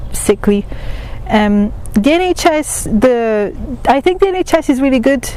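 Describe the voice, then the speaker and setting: With noticeable background noise, a woman speaks at a moderate pace using lively intonation. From Italy. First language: Italian. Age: 20s. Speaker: student. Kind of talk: interview answers. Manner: hesitant, many fillers.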